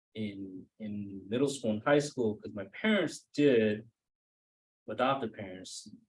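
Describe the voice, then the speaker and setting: In a Cambodian accent, a man with a fairly low pitch speaks at a very slow pace. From Maine. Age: 30s. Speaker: author. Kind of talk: author talk with Q&A. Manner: hesitant, many fillers.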